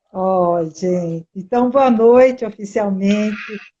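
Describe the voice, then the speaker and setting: A woman with a fairly high pitch speaks at a fairly slow pace, her pitch varying in an ordinary way. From interior of São Paulo state, Piracicaba. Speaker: teacher, educator. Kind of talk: interview, casual chat.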